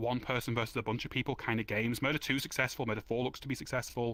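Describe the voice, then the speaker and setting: On a very clean recording with a silent background, a man at medium pitch speaks in a bright, sharp tone. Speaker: game world developer giving conference talk. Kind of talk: conference presentation. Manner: fast.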